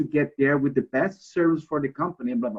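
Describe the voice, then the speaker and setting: A man's voice with a Brazilian Portuguese accent. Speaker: alumnus and former transport executive. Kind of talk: career advice talk.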